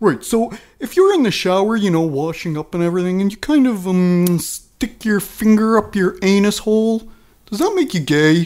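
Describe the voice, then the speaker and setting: Recorded very cleanly against a silent background, a high-pitched man speaks at a moderate pace. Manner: brash, crude, cheerfully dumb.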